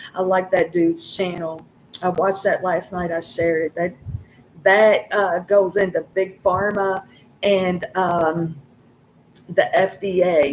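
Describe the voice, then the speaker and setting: Over noticeable background noise, a woman speaks at medium pitch with monotone, flat intonation. Her pace is fairly slow, with long, frequent pauses. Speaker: tarot reader. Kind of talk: tarot reading. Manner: halting, gets caught up on words; casual, swearing.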